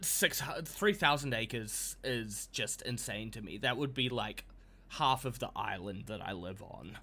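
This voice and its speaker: A man talks at a fairly slow pace with a New Zealand accent and vocal fry. His medium-pitched voice has a bright, sharp tone. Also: ordinary pitch variation, big swings in loudness. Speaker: video game streamer. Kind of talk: casual live-stream commentary. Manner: hesitant, many fillers.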